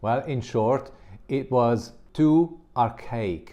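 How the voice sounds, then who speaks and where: Against a quiet background, a man with a non-native accent speaks at medium pitch in a dark, mellow tone. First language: not English. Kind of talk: commentary monologue.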